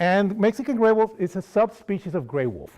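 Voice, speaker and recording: A man talks with a Costa Rican accent. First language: Spanish. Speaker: wildlife outreach coordinator. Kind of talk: lecture. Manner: halting.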